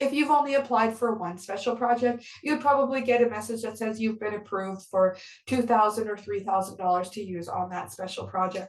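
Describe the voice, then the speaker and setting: Her voice sits fairly high in pitch for a woman. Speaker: grant program administrator. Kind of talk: webinar presentation. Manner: fast.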